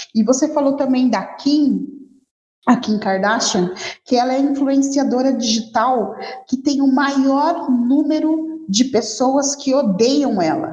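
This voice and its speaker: Audible room echo surrounds a woman's high-pitched voice. She talks at a very slow pace with very even loudness. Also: ordinary pitch variation. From Rio de Janeiro, Brazil. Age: 40s. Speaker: advertising professional and social media specialist. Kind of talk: podcast interview.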